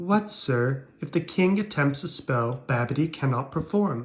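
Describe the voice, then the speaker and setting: A put-on character voice from a man, pitched fairly high, moving at a moderate speed. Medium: read story.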